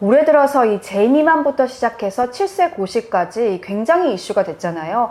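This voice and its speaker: The speech runs with hardly any pauses and very wide swings in pitch. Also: woman, fairly high pitch for a woman, moderate pace. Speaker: journalist turned education channel host. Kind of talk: casual chat. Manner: loud.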